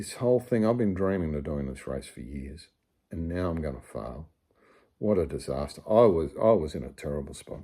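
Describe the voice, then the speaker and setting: Speaking with an Australian accent, a man with a very deep, low pitch and a dark, mellow tone keeps a moderate pace, his intonation lively and his loudness swinging widely. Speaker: amateur ultramarathon runner. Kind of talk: casual storytelling to camera. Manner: humorous, conversational.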